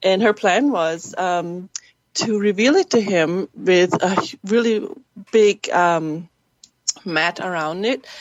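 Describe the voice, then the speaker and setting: A woman with a medium pitch speaks at a very slow pace with a German accent. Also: ordinary pitch variation. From Germany. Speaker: actress and filmmaker. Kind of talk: interview. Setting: webcast.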